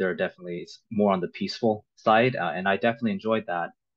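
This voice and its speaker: Against a quiet background, a man speaks. His pace is very fast. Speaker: MD-PhD student; presenter. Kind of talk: panel Q&A. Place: home room. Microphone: webcam.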